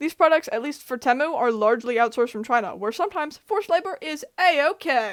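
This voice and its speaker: Speaking at a very fast pace, a woman uses a high pitch and lively intonation. Her tone is animated. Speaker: commentary YouTuber. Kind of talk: casual commentary monologue.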